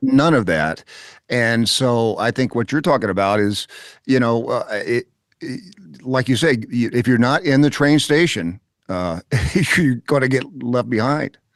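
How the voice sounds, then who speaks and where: In a plain, everyday voice, a man talks at a medium pitch and a fairly slow pace with lively intonation, heard dry and close with no echo against a quiet background. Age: 60s. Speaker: podcast host. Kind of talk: interview conversation.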